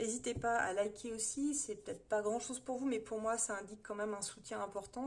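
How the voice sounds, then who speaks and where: The speaker is a woman with a fairly high pitch. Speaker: tarot reader. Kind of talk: monthly horoscope tarot reading. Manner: fast; hesitant, many fillers.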